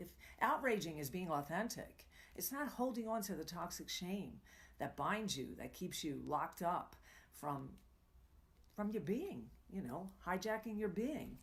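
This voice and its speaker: A woman's medium-pitched voice with vocal fry, very wide pitch swings, a fairly slow pace and long, frequent pauses. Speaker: tantra coach and live show host. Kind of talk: live coaching talk. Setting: live stream broadcast.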